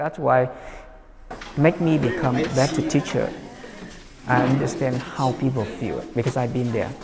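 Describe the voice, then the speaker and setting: With a non-native accent, a man speaks at a moderate pace and medium pitch, with ordinary pitch variation. Long, frequent pauses break his speech, and music plays in the background. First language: not English. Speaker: dance studio owner and teacher. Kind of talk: documentary interview.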